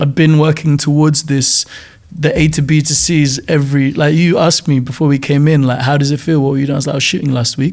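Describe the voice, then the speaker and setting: Very fast, monotone speech from a man with a fairly high voice, over noticeable background noise. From Nigeria. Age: 40s. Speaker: film director. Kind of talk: interview. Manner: casual, filler-heavy.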